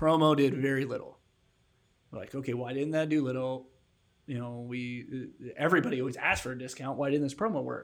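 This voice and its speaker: Using fairly even intonation at a fairly quick pace, a man speaks in an unremarkable speaking voice. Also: fairly high pitch for a man. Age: 30s. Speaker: podcast co-host. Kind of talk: casual interview chat.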